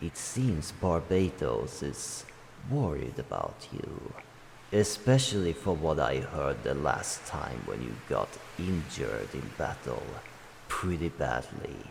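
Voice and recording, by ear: Slowly, a man puts on a character voice at an extremely low pitch, full of vocal fry and big pitch swings.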